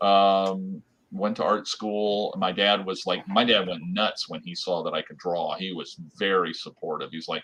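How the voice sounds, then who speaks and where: This man has an American accent and talks at a moderate pace. His loudness swings widely. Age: 60s. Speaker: artist, illustrator. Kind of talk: interview. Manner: halting, repetitive fillers.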